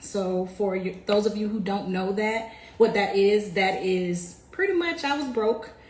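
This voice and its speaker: In an American accent, a woman speaks at a medium pitch and a fairly slow pace with ordinary pitch variation. The recording carries noticeable background noise and audible room echo. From US South, Jacksonville, Florida. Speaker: military veteran, community founder. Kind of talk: livestream talk about her background. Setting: live video stream. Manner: casual, conversational.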